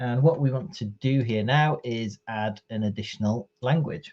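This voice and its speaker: The speaker has a Welsh accent. The pace is moderate. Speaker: IT trainer. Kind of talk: tutorial. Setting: live stream from home.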